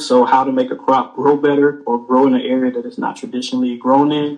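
At a moderate pace, a man with an American accent speaks at a fairly high pitch with ordinary pitch variation. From US South, small-town Georgia. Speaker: university professor. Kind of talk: casual interview. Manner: calm.

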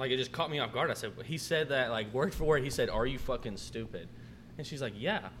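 Vocal fry runs through this man's voice as he talks at a very fast pace. His intonation is lively. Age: 20s. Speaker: restaurant manager. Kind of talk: casual chat.

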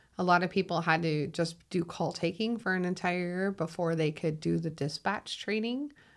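Her voice pitched fairly low, a woman speaks with a slight Minnesotan accent. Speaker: 911 dispatcher. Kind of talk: casual conversation interview. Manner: animated, laughs often.

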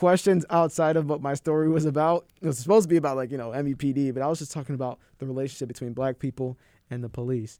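The speaker has an American accent and a dark, mellow tone. Pitch varies in an ordinary way. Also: man. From US Midwest. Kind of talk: casual chat. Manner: animated.

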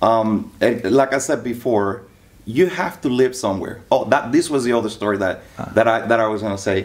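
A man with an ordinary speaking voice talks at a moderate pace, medium in pitch and with ordinary pitch variation. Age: 40s. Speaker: loan officer. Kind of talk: casual interview.

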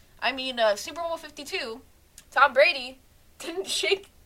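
Over noticeable background noise, a woman with an American accent speaks in a raised, projected voice, high in pitch and lively in intonation. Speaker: sports podcaster. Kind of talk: solo sports podcast monologue, casual. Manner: casual, self-deprecating, chatty.

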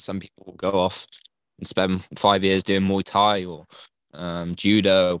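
On a very clean recording with a silent background, a man with an English accent speaks in a very deep, low pitch and a monotone, flat intonation. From England. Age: 20s. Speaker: NFT community member. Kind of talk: casual chat.

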